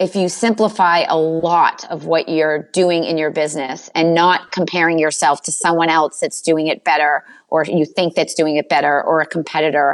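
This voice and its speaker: In a Boston accent, a woman with a fairly low pitch speaks at a moderate pace with fairly even intonation and hardly any pauses. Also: very clean recording, silent background. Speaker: business coach. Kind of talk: interview.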